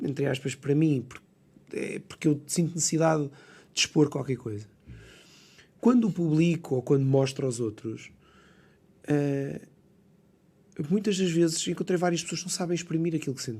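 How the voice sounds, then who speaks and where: With a Lisbon accent, a man speaks in a dark, mellow tone at a fairly high pitch, with ordinary pitch variation and long, frequent pauses, in a very clean recording with a silent background. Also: moderate pace, big swings in loudness. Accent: European Portuguese, Lisbon. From Lisbon suburbs, Portugal. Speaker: architect and poet. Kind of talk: podcast interview answer. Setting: radio studio.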